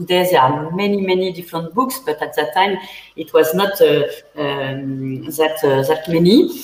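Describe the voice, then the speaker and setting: Over noticeable background noise, a woman with a French accent talks fairly slowly in a fairly low pitch. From central France. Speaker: winemaker. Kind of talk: panel interview. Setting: online livestream. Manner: halting.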